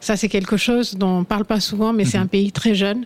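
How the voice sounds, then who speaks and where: A woman speaks at a fairly quick pace in medium pitch. It is a normal speaking voice with fairly even intonation. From India, Assam (north-east). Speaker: fashion shop owner. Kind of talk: radio panel discussion.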